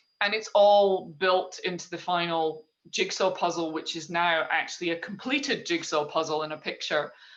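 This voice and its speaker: A woman with a Scottish accent speaks at a moderate pace in a fairly low pitch, with ordinary pitch variation and hardly any pauses. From Scotland. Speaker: leadership trainer working with horses. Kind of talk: interview.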